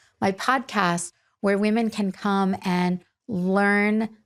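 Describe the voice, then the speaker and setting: A woman's medium-pitched voice on a very clean recording with a silent background. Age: 60s. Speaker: podcast host and beauty entrepreneur. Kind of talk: solo podcast monologue. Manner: candid, reflective with frequent fillers.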